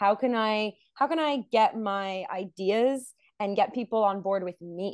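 A plain, everyday voice at a fairly slow pace, with ordinary pitch variation and a dry, close sound with no echo. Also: woman. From Montreal, Canada. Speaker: singer and actress. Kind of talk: casual interview. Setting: video call.

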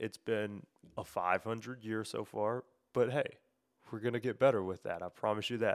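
In a very clean recording with a silent background and a dry, close sound with no echo, a man with a Memphis accent speaks at a moderate pace in a fairly low pitch with ordinary pitch variation. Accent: Southern US (Memphis). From US South, Memphis area, Tennessee. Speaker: sports podcast host. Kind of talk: solo podcast monologue. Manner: casual, filler-heavy.

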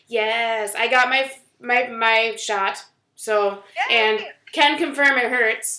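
A woman talks at a very slow pace with a bright, sharp tone. Her intonation stays fairly even, and there is audible room echo. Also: fairly high pitch for a woman. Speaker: podcast co-host. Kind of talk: casual chat.

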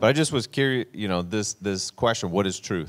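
A man speaks at a fairly quick pace with lively intonation, on a very clean recording with a silent background. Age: 40s. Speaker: podcast host, ministry leader. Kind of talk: casual faith discussion podcast. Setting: podcast studio.

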